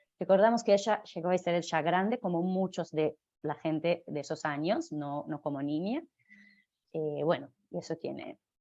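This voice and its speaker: Speaking with a Hebrew accent, a woman keeps to a fairly slow pace. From Israel (Jerusalem). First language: Hebrew (speaking Spanish). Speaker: literature lecturer. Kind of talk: lecture. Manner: halting, many fillers and self-corrections.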